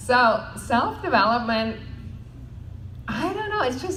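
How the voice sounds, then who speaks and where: A woman speaks at a fairly slow pace with a non-native accent and vocal fry. Room echo can be heard. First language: not English. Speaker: network marketing panelist. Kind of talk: panel talk.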